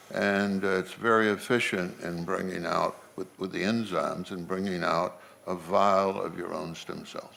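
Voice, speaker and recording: A man's very deep, low voice in a monotone, flat intonation, at a moderate pace with hardly any pauses and audible room echo. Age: 70s. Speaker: philanthropist and stem cell patient. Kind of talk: interview on conference stage.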